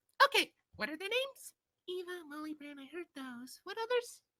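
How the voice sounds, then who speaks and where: A squeaky, put-on character voice from a man, at an extremely high pitch and a moderate pace. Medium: actual play. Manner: casual, friendly.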